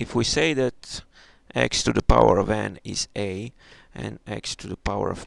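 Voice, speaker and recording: A man at a very slow pace, in a dry, close sound with no echo. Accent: non-native. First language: not English. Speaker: math tutorial maker. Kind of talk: tutorial. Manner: halting.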